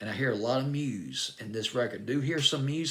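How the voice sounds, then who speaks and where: A man with a Southern US accent speaks at a fairly quick pace. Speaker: music radio-style countdown host. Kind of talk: music review monologue. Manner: animated.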